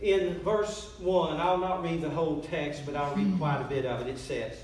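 This man's voice carries audible echo from the room. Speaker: pastor. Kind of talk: sermon. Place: church. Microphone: camera far.

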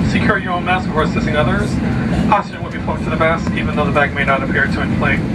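Loud background noise sits under a man talking at a very fast pace. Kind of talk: safety announcement. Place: plane.

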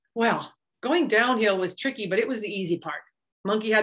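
An unforced reading voice with ordinary pitch variation, in a quiet background.

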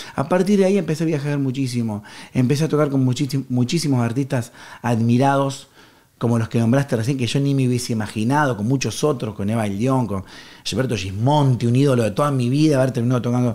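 With a Rioplatense accent, a man talks at a fairly quick pace. His tone is dark and mellow, with ordinary pitch variation. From Argentina, Rosario. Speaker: harmonica player. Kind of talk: casual interview.

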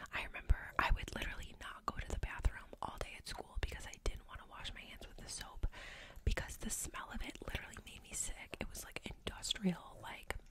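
A soft-spoken woman whispers at a fairly quick pace in a dry sound with no echo, with loud background noise. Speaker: podcaster or vlogger. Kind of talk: casual vlog chat. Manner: close-mic soft ASMR whisper. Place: home room. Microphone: studio mic.

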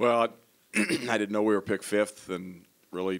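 A man at a moderate pace, his intonation fairly even. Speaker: basketball head coach. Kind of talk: press conference answer. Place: hall. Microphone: handheld.

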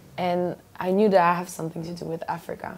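This woman has a French accent. Her pitch sits in the middle range. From France. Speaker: gospel singer. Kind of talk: TV interview. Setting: TV studio. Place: studio. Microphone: lapel.

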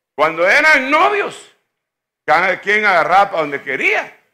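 A man's raised, projected voice, high-pitched, bright and sharp, with very wide pitch swings, a very slow pace and long, frequent pauses, in a quiet background. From Guatemala. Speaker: pastor. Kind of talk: sermon. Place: church. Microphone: handheld.

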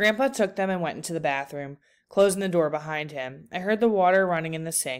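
Ordinary pitch variation in an unforced voice reading aloud.

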